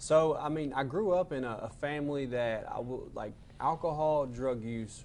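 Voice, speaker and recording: Speaking in a Southern US accent, a man talks at a moderate pace with hardly any pauses, his medium pitch carrying ordinary variation, and audible room echo around him. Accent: Southern twang. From Arkansas (Benton). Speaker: peer support specialist, person in recovery. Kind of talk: interview about addiction recovery. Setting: studio.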